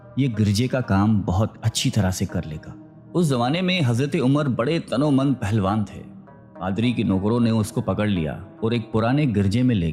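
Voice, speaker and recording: With music playing in the background, a man speaks at a medium pitch with lively intonation. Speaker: narrator. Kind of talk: religious story narration.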